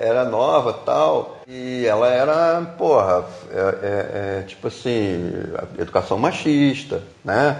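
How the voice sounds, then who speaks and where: A man with a medium pitch talks at a very slow pace with lively intonation over noticeable background noise. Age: 50s. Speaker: visual artist and tattoo artist. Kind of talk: casual chat.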